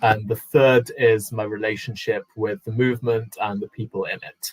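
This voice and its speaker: A somewhat breathy man with a British accent at a moderate pace, the sound dry and close with no echo. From UK. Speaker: panelist sharing immigration story. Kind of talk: personal talk on a panel.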